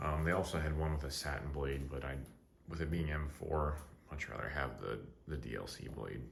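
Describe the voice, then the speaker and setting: A quiet man with a very deep, low pitch speaks at a fairly quick pace with fairly even intonation, with audible room echo and noticeable background noise. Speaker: knife reviewer. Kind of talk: product review. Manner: quiet, keeping voice down; casual, filler-heavy.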